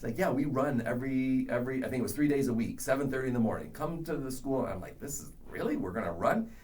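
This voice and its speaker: Barely pausing, a man at medium pitch talks very fast with lively intonation, with audible room echo and noticeable background noise. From Canada. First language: not English. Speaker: education professor. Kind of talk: podcast interview.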